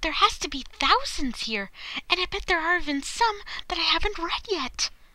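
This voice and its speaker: A woman speaks. She uses a put-on character voice. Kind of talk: voice acting audition.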